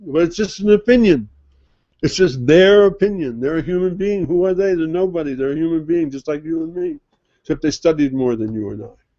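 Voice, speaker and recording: A man with a high pitch, lively intonation and a fairly quick pace. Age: 70s. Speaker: religious teacher. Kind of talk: religious lecture. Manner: conversational, halting with repetitions.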